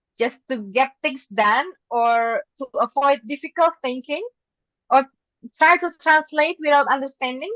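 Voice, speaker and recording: With an Indonesian accent, a woman speaks at a high pitch and with lively intonation, recorded dry and close with no echo. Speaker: English teacher and presenter. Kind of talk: webinar presentation. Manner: halting, with many fillers.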